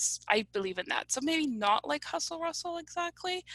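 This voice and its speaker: A woman with a slight Polish accent speaks at a moderate pace in a bright, sharp tone, her pitch swinging very widely, with a dry, close sound and no echo. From US (came from Poland as small child). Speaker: analytics company representative. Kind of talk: comedic interview.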